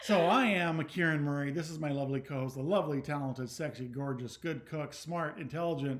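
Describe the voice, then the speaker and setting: This is an ordinary speaking voice with ordinary pitch variation. It moves at a fairly quick pace with hardly any pauses. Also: man, fairly high pitch for a man. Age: 50s. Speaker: wine video host. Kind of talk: casual chat. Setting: home video recorded on laptop.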